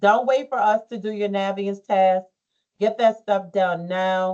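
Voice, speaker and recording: At a fairly slow pace, a woman talks in a normal speaking voice at a medium pitch. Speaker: school counselor. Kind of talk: advisement presentation to students.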